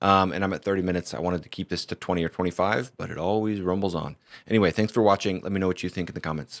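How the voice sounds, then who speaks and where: In a dry, close sound with no echo and a very clean, silent background, a man with a very deep, low pitch talks at a very fast pace with fairly even intonation. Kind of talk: video commentary monologue.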